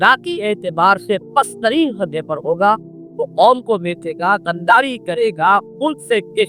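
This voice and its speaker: With music playing in the background, a man's raised, projected voice comes through. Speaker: Islamic scholar. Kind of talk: religious lecture.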